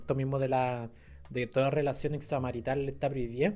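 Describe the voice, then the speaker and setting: Music plays in the background as a man with a Chilean accent talks at a fairly quick pace and a medium pitch. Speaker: podcast co-host, astronomer. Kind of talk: casual chat. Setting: in-person recording, handheld mics.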